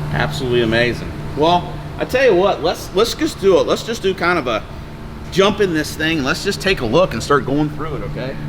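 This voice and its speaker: Over noticeable background noise, a man with a fairly high pitch talks at a fairly quick pace with lively intonation. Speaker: boat dealer. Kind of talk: product walkthrough. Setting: indoors at a boat factory. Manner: keeping voice down, quiet.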